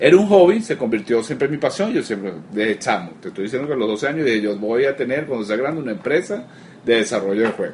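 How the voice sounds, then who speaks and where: Over noticeable background noise, a man talks at a very fast pace with a medium pitch and very wide pitch swings. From Venezuela. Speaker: game studio founder. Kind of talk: interview.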